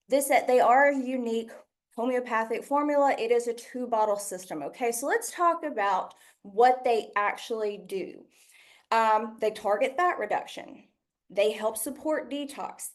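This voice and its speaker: A woman with a slight Southern US accent speaks at a high pitch and a moderate pace, with lively intonation. Audible room echo surrounds her voice. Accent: slight Southern US twang. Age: 30s. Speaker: product trainer. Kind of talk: product training presentation. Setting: stage with audience.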